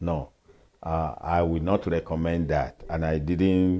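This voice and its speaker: Speaking at a very slow pace in a Nigerian accent, a man uses a very deep, low pitch and a dark, mellow tone against a quiet background. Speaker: pastor and retired professor. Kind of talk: interview answer.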